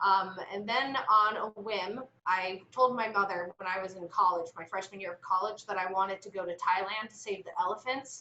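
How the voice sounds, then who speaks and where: A woman with an American accent and a normal speaking voice talks at a moderate pace in a medium pitch, with fairly even intonation, hardly any pauses and big swings in loudness. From Pittsburgh, Pennsylvania. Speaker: preschool director. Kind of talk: casual interview chat.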